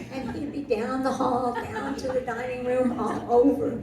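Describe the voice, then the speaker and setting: There is audible room echo and noticeable background noise as a woman talks. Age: 70s. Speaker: senior living resident. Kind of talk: panel testimony.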